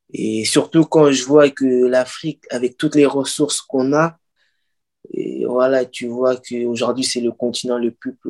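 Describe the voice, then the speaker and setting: The speech moves at a very slow pace with ordinary pitch variation. The recording is very clean with a silent background and a dry, close sound with no echo. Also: man. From Paris region (Pantin), France. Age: 20s. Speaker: author. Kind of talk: interview. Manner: halting.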